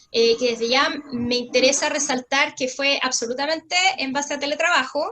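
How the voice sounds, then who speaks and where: A woman's high-pitched voice, raised and projected. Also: fairly even intonation. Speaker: lawyer presenter. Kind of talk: webinar presentation. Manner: fast.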